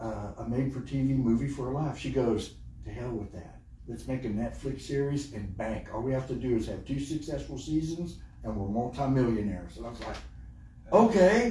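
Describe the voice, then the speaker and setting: The speaker has an animated tone and a Texan accent, talking at a moderate pace. Room echo is audible. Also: man. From Texas. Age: 60s. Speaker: podcast host and event coordinator. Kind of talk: casual interview chat. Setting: recording studio.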